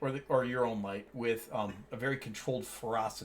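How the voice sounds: What you hear is a natural reading voice.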